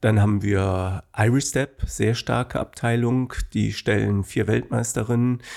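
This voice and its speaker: A medium-pitched man with a dark, mellow tone, fairly even intonation and a fairly slow pace, in a very clean recording with a silent background. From Germany, Bonn (Rhineland). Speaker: dance school owner. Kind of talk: interview.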